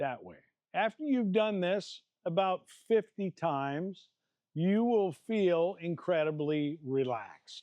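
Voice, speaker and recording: A man with a Midwestern American accent talks very slowly in a high voice, with lively intonation and big swings in loudness. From Iowa. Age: 60s. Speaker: martial arts fitness coach. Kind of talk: tutorial. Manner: casual and animated.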